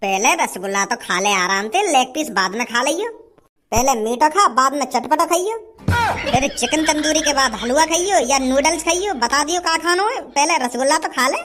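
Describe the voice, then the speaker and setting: A woman uses a cartoonish character voice at a moderate pace. Music plays in the background. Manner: teasing, self-righteous.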